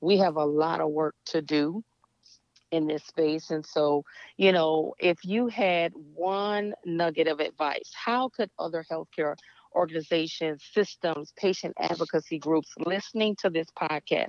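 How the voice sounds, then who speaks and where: Delivered fairly slowly, an unremarkable speaking voice rises and falls in pitch by the usual amount. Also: woman. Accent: American. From Louisiana, US South. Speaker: co-host. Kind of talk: interview.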